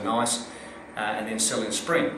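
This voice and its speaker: There is noticeable background noise behind a man talking. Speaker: real estate auctioneer and director. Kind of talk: interview answer.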